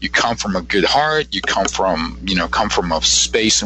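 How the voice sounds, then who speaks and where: American-accented male speech with noticeable background noise behind it. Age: 60s. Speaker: psychic. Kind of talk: interview. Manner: halting.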